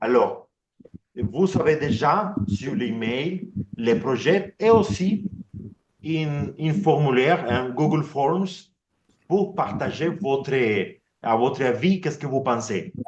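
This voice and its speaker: Very slow, somewhat breathy speech with lively intonation and long, frequent pauses. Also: man, fairly high pitch for a man. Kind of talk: online meeting presentation. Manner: halting, many repetitions.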